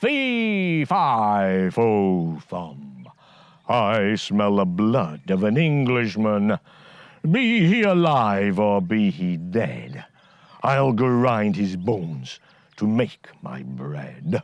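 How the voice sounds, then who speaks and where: Putting on a character voice, a man booms at a very slow pace from a fairly low pitch. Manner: menacing, loud.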